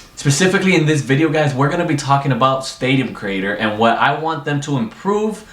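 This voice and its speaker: Noticeable background noise and audible room echo around a fairly quick pace. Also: man. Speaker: gaming YouTuber. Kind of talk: casual gaming commentary. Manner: unscripted, loose and rambling delivery; stuttering, halting.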